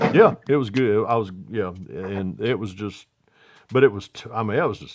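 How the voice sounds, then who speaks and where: Talking with a Southern US accent, a man keeps a moderate pace and a fairly low pitch with ordinary pitch variation. His loudness swings widely. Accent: Southern US (Georgia). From US South, Atlanta area, Georgia. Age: 60s. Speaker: scale model builder, livestream host. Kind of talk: casual chat.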